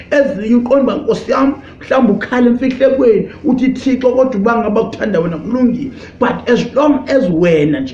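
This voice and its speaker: A man's extremely high-pitched voice at a very fast pace, lively intonation, audible room echo, and music in the background. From South Africa, Eastern Cape. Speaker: pastor. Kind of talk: sermon. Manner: halting, code-switching.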